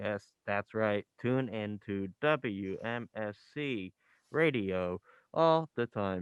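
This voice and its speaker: In a quiet background with a dry, close sound and no echo, a man with a fairly low, robotic voice speaks at a very slow pace with ordinary pitch variation. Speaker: college radio host. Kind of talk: casual radio banter. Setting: radio studio. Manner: loud.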